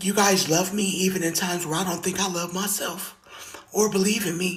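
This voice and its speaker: Delivered at a moderate speed, the speech has background noise clearly present. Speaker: singer sharing survival story. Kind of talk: testimony.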